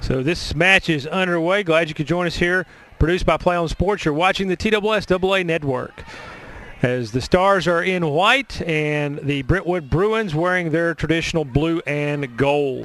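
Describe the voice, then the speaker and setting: Speaking with a Middle Tennessee accent, a man talks at a high pitch at a moderate pace. His pitch variation is ordinary, and there is noticeable background noise. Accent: Middle Tennessee twang. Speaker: play-by-play sports announcer. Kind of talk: live sports commentary.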